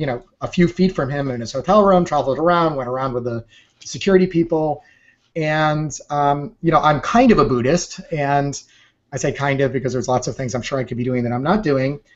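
A man with a fairly high pitch speaks at a fairly quick pace in a normal speaking voice. His pitch variation is ordinary, and the background is quiet. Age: 40s. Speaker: entrepreneur and photographer; interview guest. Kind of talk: interview. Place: home room. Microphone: video call.

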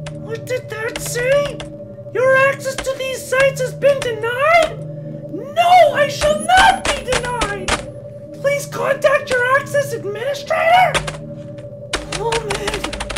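The speech moves at a fairly slow pace with long, frequent pauses. Loud background noise runs underneath. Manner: excitable, flustered.

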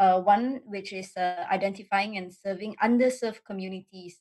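A woman speaks at a medium pitch and moderate pace, somewhat breathy. Her pitch varies in an ordinary way over a quiet background. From Malaysia. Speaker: state assemblywoman; panelist. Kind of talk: webinar presentation; panel discussion. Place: home room. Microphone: video call.

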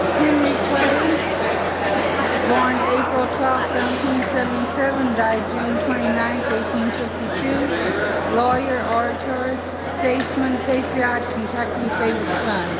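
Over crowd noise in the background, a woman speaks at a fairly slow pace with long, frequent pauses. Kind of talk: tour narration reading plaques. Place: hall. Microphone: old recording.

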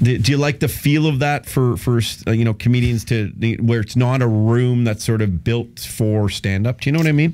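This man has a dark, mellow tone, medium pitch, very even loudness, and a Canadian accent. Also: ordinary pitch variation, moderate pace. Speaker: radio host. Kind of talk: casual chat. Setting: radio studio. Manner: animated.

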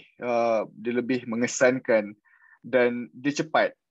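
A man with a medium pitch speaks very slowly. The sound is dry with no echo, set against a quiet background. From Peninsular Malaysia. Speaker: PhD candidate researching political satire; candidate. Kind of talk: webinar presentation. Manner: halting, many repetitions. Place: home room. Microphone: video call.

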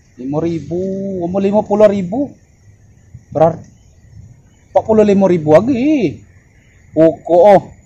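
Over light background noise, a man with a high pitch and a dark, mellow tone speaks at a moderate pace with lively intonation. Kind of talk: casual comedic skit talk. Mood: puzzled, questioning. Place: open country.

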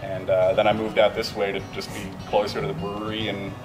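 A man speaks with clear music in the background. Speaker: brewery sales staff. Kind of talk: interview answer. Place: bar.

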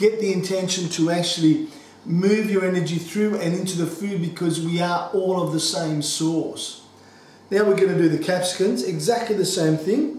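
A man's voice, high-pitched, with ordinary pitch variation and a moderate pace, plus audible room echo and light background noise. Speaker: home cooking teacher. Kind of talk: tutorial. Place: kitchen.

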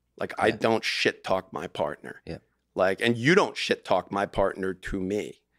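Over a quiet background, a man's speech moves at a moderate pace. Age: 50s. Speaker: divorce lawyer. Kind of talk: casual chat. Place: studio. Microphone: studio mic.

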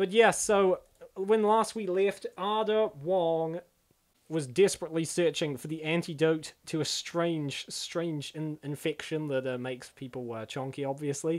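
On a very clean recording with a silent background, a man talks at a fairly slow pace with a fairly high pitch. His loudness swings widely, while his pitch varies in an ordinary way. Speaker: comic dub YouTuber. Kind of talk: casual commentary on comic dub. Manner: animated; casual, filler-heavy.

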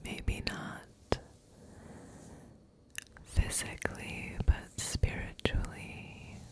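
Over loud background noise, a woman whispers in a breathy, intense tone at a very slow pace. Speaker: ASMR creator. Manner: intense breathy ASMR whisper. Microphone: studio mic.

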